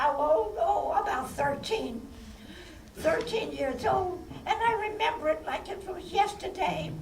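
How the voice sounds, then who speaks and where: A woman's extremely high voice at a fairly slow pace, with very wide pitch swings, audible room echo and noticeable background noise. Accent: American. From New York City. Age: 80s+. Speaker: former vaudeville performer and filmmaker. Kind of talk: audience Q&A. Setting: stage with audience at film festival.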